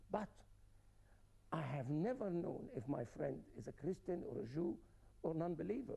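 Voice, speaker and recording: This man has a high pitch, a dark, mellow tone and very wide pitch swings, moving at a moderate pace broken by long, frequent pauses. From Germany, from age twelve. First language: German. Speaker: scientist, interview guest. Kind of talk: TV interview.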